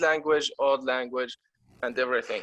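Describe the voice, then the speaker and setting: With an Arabic accent, a man speaks at a medium pitch. His tone is bright and sharp. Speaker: viewer joining the discussion. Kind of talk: group discussion. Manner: halting.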